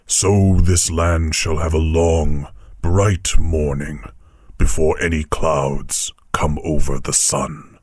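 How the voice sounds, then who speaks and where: A put-on character voice from a man, pitched very deep and low. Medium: read story. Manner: grave, measured, warmly authoritative.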